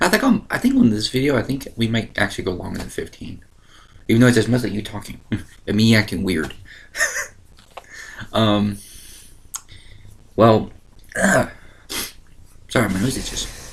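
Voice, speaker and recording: The voice is somewhat breathy, moving at a moderate pace with ordinary pitch variation and long, frequent pauses. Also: man, medium pitch for a man. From Ohio. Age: 20s. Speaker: online video host. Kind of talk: casual chat. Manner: animated.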